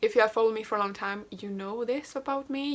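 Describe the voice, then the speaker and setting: Speaking at a very fast pace with a Swedish accent, the voice shows ordinary pitch variation on a very clean recording with a silent background. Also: woman. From Sweden. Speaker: booktuber, aspiring writer. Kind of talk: casual chat, get-to-know-me tag video.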